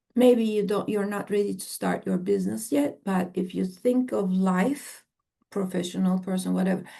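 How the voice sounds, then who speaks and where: A woman speaks at a medium pitch and a moderate pace, with ordinary pitch variation. Her tone is dark and mellow and somewhat breathy. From Turkey. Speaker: AI entrepreneur and executive. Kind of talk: podcast interview. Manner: animated; halting, self-interrupting.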